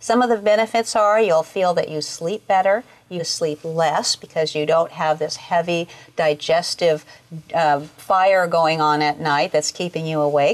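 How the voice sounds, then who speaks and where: A woman's plain, everyday voice, fairly low-pitched, with ordinary pitch variation at a fairly slow pace. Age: 60s. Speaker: raw food culinary school founder. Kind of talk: interview.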